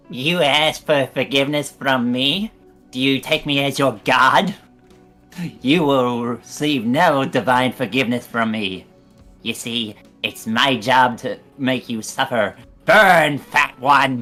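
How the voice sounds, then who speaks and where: Faint music plays behind a put-on character voice that speaks at a fairly slow pace in a low-to-middle pitch with a menacing tone. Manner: hellish, menacing.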